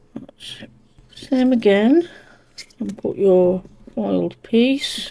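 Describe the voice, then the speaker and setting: Speaking very slowly, a woman with a British accent uses lively intonation. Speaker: cardmaking crafter. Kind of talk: tutorial. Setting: home craft room. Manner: quiet, hushed.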